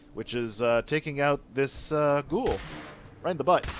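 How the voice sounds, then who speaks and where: Medium pitch and ordinary pitch variation from a man, with noticeable background noise. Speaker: gaming streamer. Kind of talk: live stream gameplay chat. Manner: stutters at times; animated.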